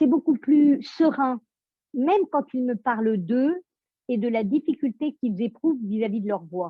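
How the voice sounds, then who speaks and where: Her voice high in pitch, a woman talks at a fairly slow pace with lively intonation. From France. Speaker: voice coach. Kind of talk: interview. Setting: audio chat room.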